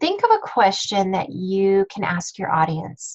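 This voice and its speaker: Somewhat breathy, a woman speaks at a fairly slow pace and a medium pitch. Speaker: business coach. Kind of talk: webinar training. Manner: filler-heavy, self-correcting.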